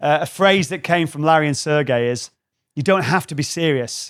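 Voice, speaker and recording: Using a northern English accent, a man talks at a fairly high pitch and a moderate pace. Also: very clean recording, silent background. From northwest England. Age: 40s. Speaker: creativity trainer. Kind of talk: live talk to an audience. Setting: stage with audience. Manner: animated.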